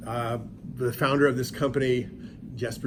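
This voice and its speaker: Speaking at a fairly quick pace with an American accent, a man is heard with audible room echo. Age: 60s. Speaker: professor. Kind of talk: lecture. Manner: animated.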